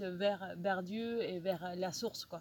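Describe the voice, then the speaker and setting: Speaking with a Spanish accent, a woman keeps her intonation fairly even. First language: Spanish (speaking French). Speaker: youth ministry worker. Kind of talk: personal testimony. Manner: halting.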